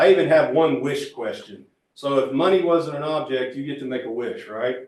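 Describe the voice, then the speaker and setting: Big swings in loudness mark this man's fairly high voice, which moves at a moderate pace with ordinary pitch variation. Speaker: transportation planning consultant. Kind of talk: public meeting presentation. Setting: public meeting room with audience, also online.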